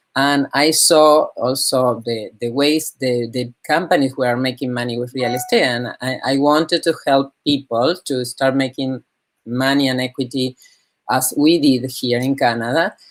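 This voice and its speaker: In a Spanish accent, a woman speaks at a fairly slow pace. Her pitch is very deep and low, and her intonation stays fairly even. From Argentina, Buenos Aires. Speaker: real estate broker. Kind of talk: interview. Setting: live online discussion.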